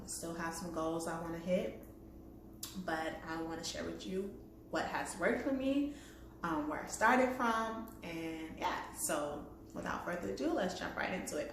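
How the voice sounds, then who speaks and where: A woman with a fairly low pitch speaks at a moderate pace, her intonation lively. Noticeable background noise and audible room echo fill the recording. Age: 30s. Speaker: vlogger. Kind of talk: casual vlog. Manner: hesitant, lots of fillers.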